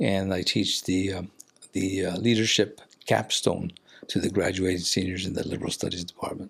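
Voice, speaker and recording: A man speaks with an American accent at a moderate pace. His pitch is very deep and low. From Ventura County, California. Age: 60s. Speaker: university lecturer. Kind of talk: casual interview. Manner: energetic.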